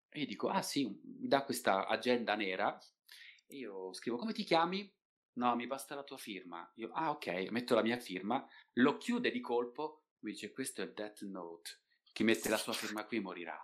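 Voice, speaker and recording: A man's medium-pitched voice at a moderate pace, with lively intonation and big swings in loudness. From Italy, Turin. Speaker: voice actor. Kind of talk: casual chat.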